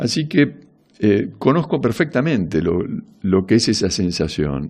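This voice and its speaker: Speaking with an Argentine accent, a man of fairly low pitch keeps a moderate pace. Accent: Rioplatense Argentine Spanish. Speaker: radio host. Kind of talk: casual radio monologue. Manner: halting.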